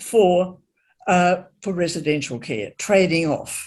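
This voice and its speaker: A woman with an Australian accent speaks at a fairly low pitch. Her intonation is lively. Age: 80s. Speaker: panelist, former public servant in aged care policy. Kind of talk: panel discussion. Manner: hesitant, with fillers.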